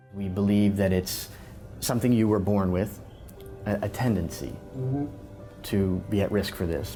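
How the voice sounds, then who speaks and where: Over music in the background, a man speaks at a fairly low pitch and a fairly slow pace, his intonation fairly even. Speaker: neurologist. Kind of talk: doctor explaining diagnosis to patient.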